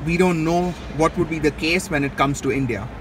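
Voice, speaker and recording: Through noticeable background noise, a man speaks at a high pitch with ordinary pitch variation in a dry sound with no echo. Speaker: car reviewer. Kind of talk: walkaround commentary. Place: hall. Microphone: phone near.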